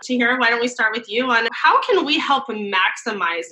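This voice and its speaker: A woman speaks at a moderate pace with ordinary pitch variation. Noticeable background noise runs underneath. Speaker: co-host. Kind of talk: casual panel chat.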